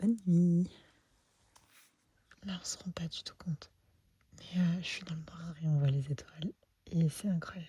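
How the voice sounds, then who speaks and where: A soft-spoken woman talks at a fairly slow pace with long, frequent pauses. Her voice is fairly low, dark and mellow, and somewhat breathy. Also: fairly even intonation. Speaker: paragliding vlogger. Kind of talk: vlog commentary. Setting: outdoors at night.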